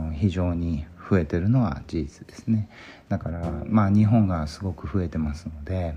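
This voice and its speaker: A man with a very deep, low pitch speaks at a moderate pace, his loudness swinging widely. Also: ordinary pitch variation. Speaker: physician. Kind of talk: solo podcast monologue. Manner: halting, many fillers.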